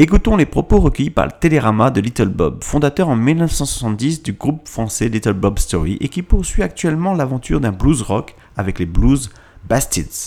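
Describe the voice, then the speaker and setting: At a moderate pace, a man talks in a medium pitch with vocal fry. His pitch swings very widely. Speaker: radio host. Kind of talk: radio DJ patter with station ID and track backannouncement. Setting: radio studio broadcast.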